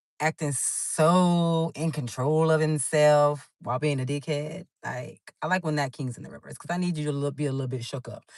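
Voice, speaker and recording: An animated tone at a moderate pace, with hardly any pauses. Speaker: tarot reader. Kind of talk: tarot reading. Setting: in a car. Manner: loud.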